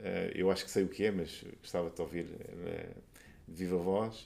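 A fairly low-pitched man's voice in a dark, mellow tone, fairly quick in pace with fairly even intonation. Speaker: podcast host. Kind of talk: casual interview.

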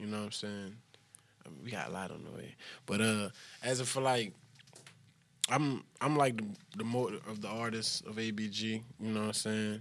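A man's fairly low voice with an American accent, fairly even intonation, big swings in loudness, and long, frequent pauses. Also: moderate pace. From Louisiana, Crowley. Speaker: rapper. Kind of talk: casual chat.

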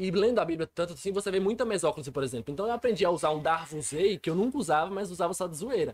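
Very fast and with hardly any pauses, a man talks in a high-pitched voice with lively intonation. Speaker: podcast host. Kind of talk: casual chat.

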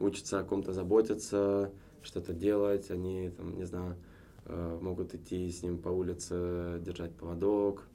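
Very slowly, a man speaks in a very deep, low pitch with a dark, mellow tone and fairly even intonation. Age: 30s. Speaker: businessman, former cinema chain executive. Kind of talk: casual chat. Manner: hesitant with frequent filler sounds.

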